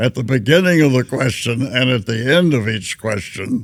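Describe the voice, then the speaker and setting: Speaking in a Southern US accent, a man keeps to a medium pitch. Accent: Southern American. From Tennessee. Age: 80s+. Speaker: war veteran. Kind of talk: interview answer.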